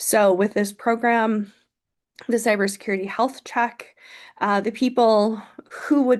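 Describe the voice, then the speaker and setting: This woman has a plain, everyday voice, talking at a moderate pace against a quiet background. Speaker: nonprofit program presenter. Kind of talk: webinar presentation.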